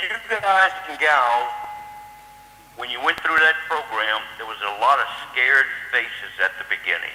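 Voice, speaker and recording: A man with a fairly high pitch swings very widely in pitch and loudness, pausing long and often over noticeable background noise. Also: moderate pace. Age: 70s. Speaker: former training program manager. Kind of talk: tribute speech.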